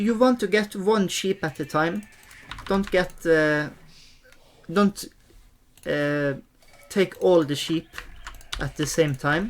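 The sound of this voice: Speaking slowly in a fairly high voice with ordinary pitch variation, a man leaves long, frequent pauses.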